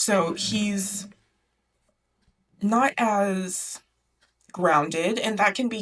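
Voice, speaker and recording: The speech has long, frequent pauses. Its pitch variation is ordinary. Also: woman. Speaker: book video essayist. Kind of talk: casual video essay. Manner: chatty, conversational.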